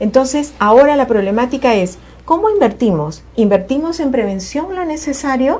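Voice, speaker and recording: Noticeable background noise behind a voice with very wide pitch swings. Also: woman, high pitch for a woman, moderate pace. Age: 60s. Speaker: family court judge. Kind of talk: TV talk show interview.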